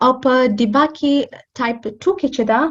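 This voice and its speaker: A woman speaks in a somewhat breathy voice. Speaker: medical lecturer. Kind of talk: lecture. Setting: video call. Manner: halting.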